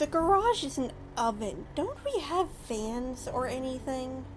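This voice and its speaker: A woman speaks at a fairly slow pace with lively intonation while music plays in the background. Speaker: video game analyst. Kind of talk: scripted comedy skit intro.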